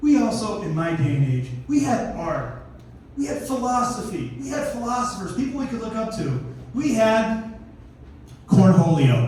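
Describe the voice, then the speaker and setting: A man with a high pitch talks at a fairly slow pace in an animated tone, his pitch swinging very widely, with audible room echo. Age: 60s. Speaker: comedian. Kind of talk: stand-up. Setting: stage with audience.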